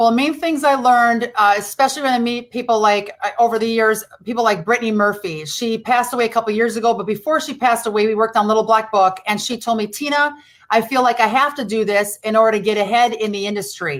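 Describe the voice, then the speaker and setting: Very fast speech with a Midwestern accent, hardly any pauses and ordinary pitch variation. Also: woman, fairly high pitch for a woman. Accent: rural Midwestern, still present. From US Midwest, rural Wisconsin. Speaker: former actress, pop culture speaker. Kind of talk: radio interview.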